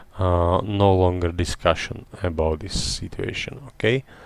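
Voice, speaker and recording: A man with a non-native accent speaks in a very deep, low pitch and fairly even intonation. The sound is dry and close, with no echo. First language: not English. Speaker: retired airline pilot streaming flight simulation. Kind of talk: live-stream tutorial commentary. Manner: halting, many fillers.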